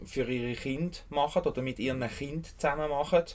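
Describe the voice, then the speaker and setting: This man speaks with a Swiss accent at medium pitch. His pace is moderate and his pitch variation ordinary. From Switzerland, Bernese Jura. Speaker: urban fallow land caretaker, permaculture gardener. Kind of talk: interview. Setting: outdoors on urban fallow land.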